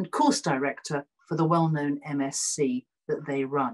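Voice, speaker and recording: A woman against a quiet background. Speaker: speaker. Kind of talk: formal introductions. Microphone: video call.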